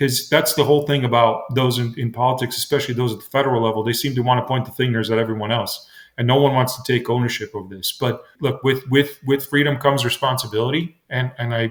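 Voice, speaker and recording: A man's somewhat breathy, medium-pitched voice at a very fast pace, with fairly even intonation and hardly any pauses. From immigrant, came to US at nine. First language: not English. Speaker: state legislator and congressional candidate. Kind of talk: radio interview. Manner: halting, many fillers and repetitions.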